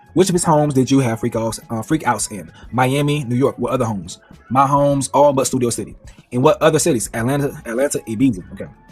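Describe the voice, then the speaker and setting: Music plays in the background as the speaker talks at a very fast pace with ordinary pitch variation. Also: man, medium pitch for a man. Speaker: commentator reading court transcript. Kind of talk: reading aloud with commentary. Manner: halting.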